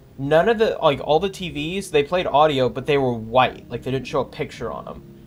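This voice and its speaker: With music in the background, a man with a fairly high pitch speaks at a fairly quick pace and with lively intonation. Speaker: gaming streamer. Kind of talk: live gameplay commentary. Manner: casual, filler-heavy.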